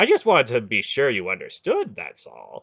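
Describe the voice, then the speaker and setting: A man's put-on character voice at a moderate pace, with big swings in loudness. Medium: read story. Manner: wry, needling.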